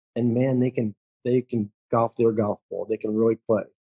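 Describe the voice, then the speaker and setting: This man talks at a medium pitch with fairly even intonation and a dark, mellow tone, recorded dry and close with no echo. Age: 60s. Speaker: golf instructor. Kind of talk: casual chat. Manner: halting.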